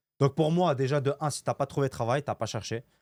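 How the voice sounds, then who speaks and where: A man with a fairly high voice talks at a fairly quick clip in an animated tone, recorded very cleanly against a silent background with a dry, close sound and no echo. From Lebanon. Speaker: entrepreneur and content creator. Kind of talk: podcast interview. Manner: casual, animated.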